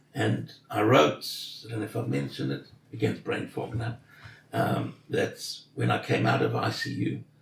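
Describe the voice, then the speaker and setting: A man's very deep, low voice at a moderate pace, with very wide pitch swings, long, frequent pauses and noticeable background noise. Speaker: intensive care survivor. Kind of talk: interview.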